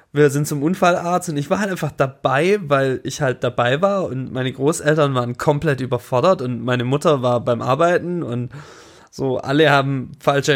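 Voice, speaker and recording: Ordinary pitch variation and a moderate pace, with a slight Swabian accent. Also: man. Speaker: podcast co-host. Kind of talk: casual chat.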